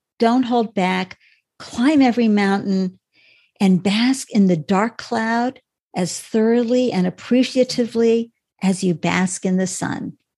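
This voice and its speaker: The voice has a dark, mellow tone and is somewhat breathy, moving at a very slow pace over a quiet background. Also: woman. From New England, Boston area. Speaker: startup founder and live stream host. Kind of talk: interview. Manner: animated.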